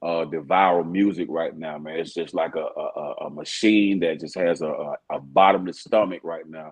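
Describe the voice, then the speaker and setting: A man with a Southern US accent speaks in a very deep, low pitch with hardly any pauses. His intonation is fairly even, while his loudness swings widely. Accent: Southern drawl. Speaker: rapper. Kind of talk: casual interview chat.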